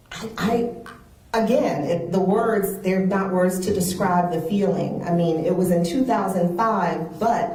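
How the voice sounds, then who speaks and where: A woman with an American accent speaks at a moderate pace in a medium pitch. Background noise is noticeable. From Charleston, South Carolina. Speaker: speech therapist. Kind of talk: interview answer.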